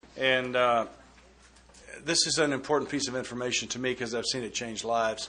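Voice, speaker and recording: A man talks at medium pitch with fairly even intonation and a fairly quick pace. He has an ordinary speaking voice. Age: 60s. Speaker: AA speaker. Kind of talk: recovery talk.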